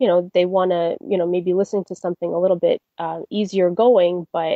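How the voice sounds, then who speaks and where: Fairly even intonation marks an ordinary speaking voice. The speaker has a Canadian accent. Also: woman. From Toronto, Canada. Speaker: classical crossover soprano. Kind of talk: interview answer.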